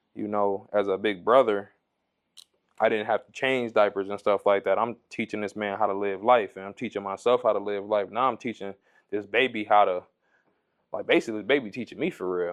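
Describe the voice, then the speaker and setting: A plain, everyday voice belongs to this man with an American accent. He talks at a fairly quick pace, fairly low in pitch, with fairly even intonation. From Ohio, Toledo. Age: 20s. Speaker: barber. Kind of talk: casual interview.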